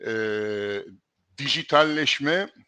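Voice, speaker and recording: A man's voice, bright and sharp in tone, comes through in a dry, close sound with no echo. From Istanbul, Turkey. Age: 70s. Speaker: logistics executive and lecturer. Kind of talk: interview.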